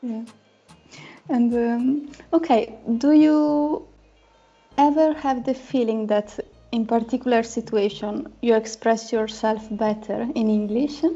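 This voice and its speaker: Speaking at a very slow pace in an Italian accent, a woman with a fairly high pitch and ordinary pitch variation leaves long, frequent pauses while music plays in the background. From Italy. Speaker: language teacher, channel host. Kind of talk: casual interview chat.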